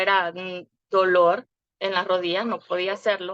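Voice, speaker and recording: A woman of medium pitch speaks at a fairly slow pace. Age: 40s. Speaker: wellness program client. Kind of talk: testimony. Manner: halting, many filler words.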